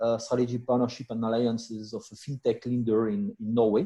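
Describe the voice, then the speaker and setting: With a dark, mellow tone, a man speaks at a medium pitch with ordinary pitch variation. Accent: French. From France. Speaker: business executive. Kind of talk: self-introduction at networking meeting. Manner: halting, many fillers.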